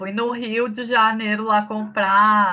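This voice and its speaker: Against a quiet background, a woman speaks at a medium pitch with a bright, sharp tone and flat, monotone intonation. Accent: southern Brazilian. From Rio Grande do Sul, southern Brazil. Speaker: teacher. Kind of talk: online lecture. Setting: remote class.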